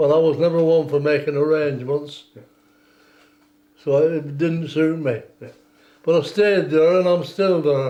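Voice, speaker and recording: In a Lancashire accent, a man with a fairly high pitch and a dark, mellow tone speaks at a fairly slow pace with long, frequent pauses, his intonation fairly even and his loudness very even. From northern England, West Lancashire. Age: 80s+. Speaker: war veteran. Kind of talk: oral history interview.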